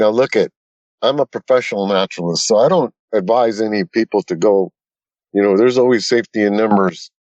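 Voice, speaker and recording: With ordinary pitch variation, a man talks at a moderate pace in a fairly low voice. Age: 60s. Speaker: retired naturalist and Bigfoot investigator. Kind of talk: casual storytelling interview. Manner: halting, with frequent repetitions.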